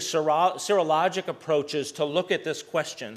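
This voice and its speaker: This man talks at a fairly high pitch. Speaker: malaria researcher giving a talk. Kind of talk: academic conference talk. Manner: fast.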